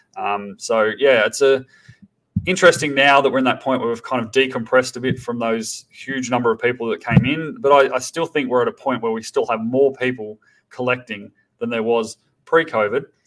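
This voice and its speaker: Fairly quick, fairly even male speech at a medium pitch with an Australian accent. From Tasmania, Australia. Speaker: startup founder. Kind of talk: podcast interview.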